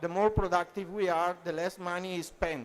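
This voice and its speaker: Speech at a moderate pace in an Italian accent. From Italy. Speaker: translation professional at EU institution. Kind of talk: conference panel talk. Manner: hesitant, many fillers.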